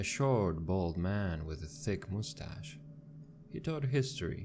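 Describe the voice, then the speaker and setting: Very deep, low male voice with very wide pitch swings, at a fairly slow pace. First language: not English. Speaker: scary story narrator. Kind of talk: horror story narration.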